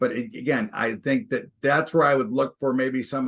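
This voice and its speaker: This man has an unremarkable speaking voice, medium in pitch, with ordinary pitch variation. He talks at a moderate pace. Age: 60s. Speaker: stock and commodities trader. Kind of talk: interview.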